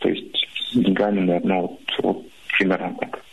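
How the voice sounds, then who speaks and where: Noticeable background noise and a man speaking fairly slowly. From northern Russia. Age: 30s. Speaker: radio caller. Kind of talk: phone-in counselling conversation. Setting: phone call. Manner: halting.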